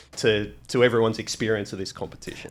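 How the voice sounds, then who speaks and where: Amid noticeable background noise, a man talks with a pitch in the middle range. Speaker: football commentator. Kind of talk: casual conversational. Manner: excited, energetic.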